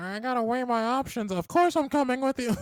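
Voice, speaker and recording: Using a put-on character voice, a man talks at a fairly quick pace with an extremely high pitch. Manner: squeaky, scheming, acted.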